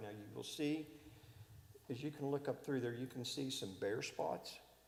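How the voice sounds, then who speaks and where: A man's medium-pitched voice shows ordinary variation at a moderate pace. Noticeable background noise can be heard. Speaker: state environmental project presenter. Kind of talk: public meeting presentation.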